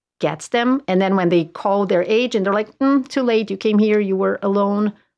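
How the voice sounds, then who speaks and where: Moderately paced speech from a woman, medium in pitch, with ordinary pitch variation. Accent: Portuguese. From southern Brazil. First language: Portuguese. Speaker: realtor. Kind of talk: casual chat.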